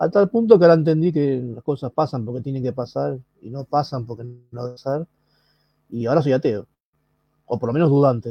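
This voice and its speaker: A man at medium pitch talks at a fairly quick pace, somewhat breathy, with big swings in loudness. He leaves long, frequent pauses. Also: ordinary pitch variation. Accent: Rioplatense. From Argentina, Buenos Aires. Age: 30s. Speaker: mental health patient and activist. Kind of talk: personal testimony.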